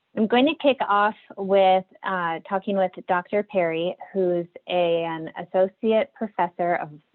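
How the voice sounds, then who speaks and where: A woman with a plain, everyday voice at medium pitch, fairly slow pace and ordinary pitch variation. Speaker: webinar moderator, small business advisor. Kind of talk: moderating a webinar panel.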